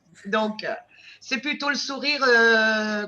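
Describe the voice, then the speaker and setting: At a fairly high pitch, a woman talks with a bright, sharp tone and ordinary pitch variation. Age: 60s. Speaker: weight-loss program client giving testimonial. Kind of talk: testimony.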